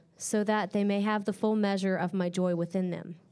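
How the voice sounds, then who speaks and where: A woman with a plain, everyday voice speaks at a medium pitch and a moderate pace, with fairly even intonation, on a very clean recording with a silent background. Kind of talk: scripture reading aloud.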